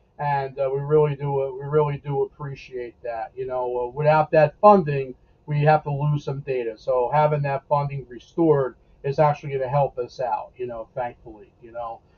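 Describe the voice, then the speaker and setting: A man with a fairly high pitch talks at a moderate pace, his intonation fairly even. His loudness swings widely. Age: 60s. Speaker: local weather center operator. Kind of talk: casual chat.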